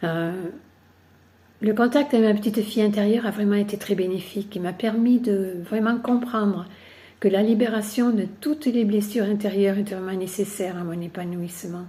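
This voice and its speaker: At a moderate pace, a woman speaks in a dark, mellow tone that is somewhat breathy, with fairly even intonation. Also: medium pitch for a woman. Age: 70s. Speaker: workshop participant. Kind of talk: testimony. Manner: hesitant, with frequent fillers.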